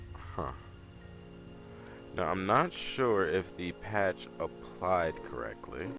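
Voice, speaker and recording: With music in the background, a man with a very deep, low voice talks at a very slow pace, making very wide pitch swings and long, frequent pauses. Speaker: gaming youtuber. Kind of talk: let's play commentary. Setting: at home. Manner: soft-spoken; low energy. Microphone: audio issues.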